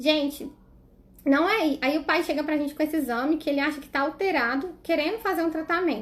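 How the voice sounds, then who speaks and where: Her pitch high, a woman speaks at a fairly quick pace with ordinary pitch variation. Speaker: pediatric gastroenterologist. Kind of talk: live stream Q&A talk. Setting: live stream. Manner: fast.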